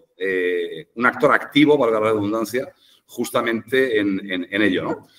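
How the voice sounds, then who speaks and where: Here is a man with a fairly low pitch. He speaks in a strong Madrid accent. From Madrid, Spain. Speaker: education specialist. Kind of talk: podcast panel discussion. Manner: hesitant, many fillers.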